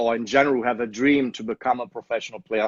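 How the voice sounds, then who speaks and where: A man with a German accent, fairly even intonation, and a dry, close sound with no echo. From Germany, Leverkusen. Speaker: soccer club owner. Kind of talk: interview.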